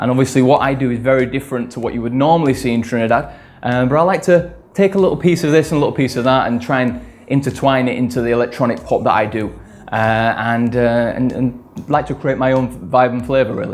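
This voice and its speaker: Talking at a very fast pace, a man with a British accent keeps a medium pitch and ordinary pitch variation. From northern England, Leeds. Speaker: electronic music producer and singer. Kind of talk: interview. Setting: studio. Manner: hesitant, many fillers.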